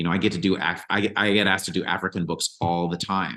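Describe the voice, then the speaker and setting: Very deep and low in pitch, a man's voice carries a bright, sharp tone with fairly even intonation. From Caribbean. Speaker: audiobook narrator. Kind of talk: interview Q&A.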